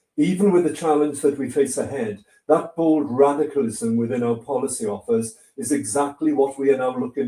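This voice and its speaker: A man's dark, mellow voice with a Welsh accent, at a moderate pace, with ordinary pitch variation. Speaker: politician. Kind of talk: speech. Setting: online livestream.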